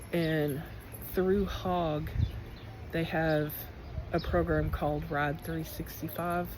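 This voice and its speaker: There is audible room echo as a woman speaks very slowly, leaving long, frequent pauses. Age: 50s. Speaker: school teacher and motorcycle traveler. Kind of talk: personal vlog. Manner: casual, hesitant with fillers.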